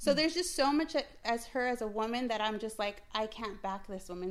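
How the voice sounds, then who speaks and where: An ordinary speaking voice moves at a fairly quick pace. The intonation is lively. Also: woman. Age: 30s. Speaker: small business owner. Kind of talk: casual family chat.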